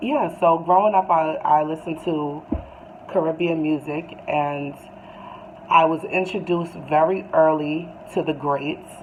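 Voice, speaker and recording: Noticeable background noise sits behind a voice with a New York accent and fairly even intonation. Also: woman, fairly low pitch for a woman. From US, Brooklyn, New York. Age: 30s. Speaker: YouTuber, music fan. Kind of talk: casual monologue to camera. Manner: hesitant, many fillers.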